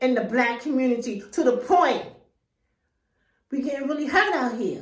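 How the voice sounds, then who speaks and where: A woman speaks loudly and in an animated tone, high in pitch with ordinary pitch variation. Audible room echo surrounds her voice. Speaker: YouTuber. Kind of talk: vlog monologue.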